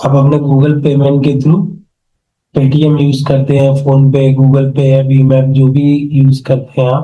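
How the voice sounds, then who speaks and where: A man's dark, mellow voice, monotone and flat, somewhat breathy, with audible room echo. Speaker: online marketing teacher. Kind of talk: screen-share tutorial class.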